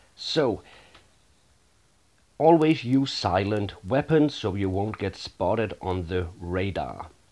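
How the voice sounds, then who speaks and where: The speaker has a Danish accent and lively intonation. Delivery is very slow, with long, frequent pauses. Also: man, fairly low pitch for a man, very clean recording, silent background. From Denmark. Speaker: gaming YouTuber. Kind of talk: tutorial.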